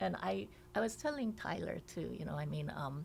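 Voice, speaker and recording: A woman with a Korean accent at a moderate pace. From South Korea, moved to Hawaii at nine. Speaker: state legislator. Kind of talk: podcast interview.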